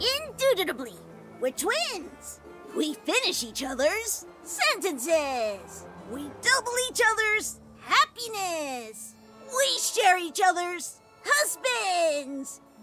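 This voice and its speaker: Over clear background music, a woman performs a cartoonish character voice at an extremely high pitch and a very slow pace. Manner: chirpy, bickering.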